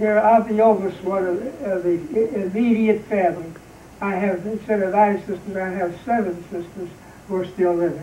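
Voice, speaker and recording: A man's high-pitched voice at a moderate pace, with fairly even intonation and noticeable background noise. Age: 80s+. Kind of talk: interview answer. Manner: hesitant, rambling.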